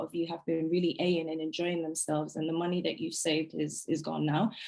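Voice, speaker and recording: A woman speaks at a fairly quick pace in a fairly low pitch, her intonation monotone and flat. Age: 20s. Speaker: finance workshop presenter. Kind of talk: workshop presentation. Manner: fast; frequent hesitations.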